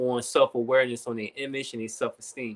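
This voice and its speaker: A man talks at a fairly quick pace with a normal speaking voice and fairly even intonation. The sound is dry and close, with no echo. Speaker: recording artist and nonprofit program director. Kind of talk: podcast interview.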